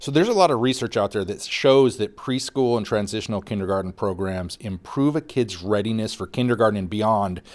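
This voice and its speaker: In a very clean recording with a silent background, a man uses an ordinary speaking voice at a fairly low pitch, moving at a fairly quick pace with hardly any pauses and ordinary pitch variation. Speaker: podcast host. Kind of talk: casual banter podcast.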